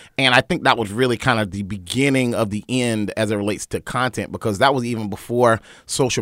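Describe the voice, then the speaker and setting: This man has a plain, everyday voice, medium in pitch, with an American accent. He talks at a fairly quick pace with ordinary pitch variation, and the recording is very clean and dry, close, with no echo and a silent background. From North Carolina (Wilmington). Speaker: event organizer and media entrepreneur. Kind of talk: casual chat. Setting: studio.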